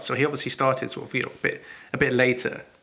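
A man's voice against noticeable background noise. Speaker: podcast co-host. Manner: casual, enthusiastic.

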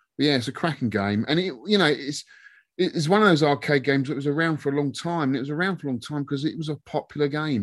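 A man with a fairly high pitch talking at a very fast pace against a quiet background. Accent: London. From southwest London, England. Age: 50s. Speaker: YouTuber and arcade collector. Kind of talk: casual chat.

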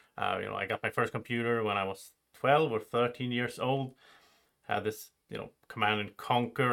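In a Swedish accent, a man speaks at a fairly quick pace. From Sweden. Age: 30s. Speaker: board game youtuber and podcast host. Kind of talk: casual chat.

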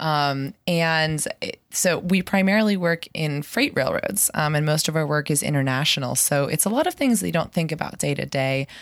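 A woman with an American accent speaks at a moderate pace, her pitch very deep and low with ordinary variation. The recording is very clean, with a silent background. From Pittsburgh, US. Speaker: spin instructor and railroad business worker. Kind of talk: casual interview.

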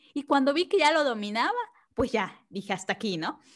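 The recording of this woman's voice is very clean, set against a silent background. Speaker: tax consultant. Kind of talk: casual chat. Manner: calm.

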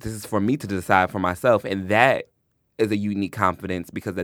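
Recorded very cleanly against a silent background, a man with an unremarkable speaking voice and fairly low pitch talks at a fairly quick pace. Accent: American. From Long Island, New York and Georgia. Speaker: writer and critic. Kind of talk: casual interview.

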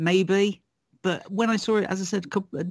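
A man with a British accent speaks at a high pitch. His pace is fairly quick, with ordinary pitch variation. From UK. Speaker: film critic. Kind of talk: casual chat. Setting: video call.

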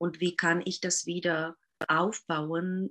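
The woman's fairly low voice carries vocal fry in a dry, close sound with no echo. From Czech Republic. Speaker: Waldorf teacher. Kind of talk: interview. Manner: halting.

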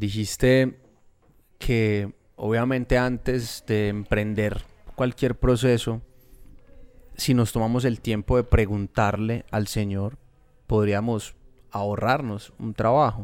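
Over music in the background, a man talks very slowly in a monotone, flat intonation, with long, frequent pauses. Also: medium pitch for a man. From Colombia, Medellín. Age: 30s. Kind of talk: casual faith conversation.

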